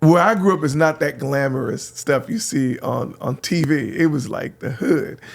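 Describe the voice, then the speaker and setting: A man with an American accent talks at a fairly high pitch, with vocal fry and lively intonation. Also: moderate pace, hardly any pauses. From San Francisco, California. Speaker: radio host. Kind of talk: casual chat.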